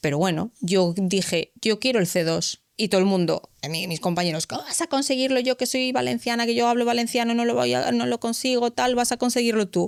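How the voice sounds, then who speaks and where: A woman with a Galician accent talks at a fairly quick pace with hardly any pauses, lively intonation, and a fairly high pitch, in a dry, close sound with no echo. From Galicia, Spain. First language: Galician (speaking Spanish). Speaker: civil servant in the justice system. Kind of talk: podcast interview. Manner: animated.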